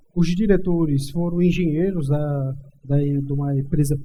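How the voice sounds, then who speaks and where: A man with a dark, mellow tone at a moderate pace, with audible room echo. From Brazilian Northeast. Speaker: civil engineer. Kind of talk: interview. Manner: halting, many fillers.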